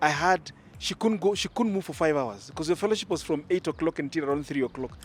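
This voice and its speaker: Speaking at a very fast pace, a man with a Kenyan accent sounds animated in a fairly high pitch. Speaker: engaged church member, Sunday school teacher. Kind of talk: casual interview. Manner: loud.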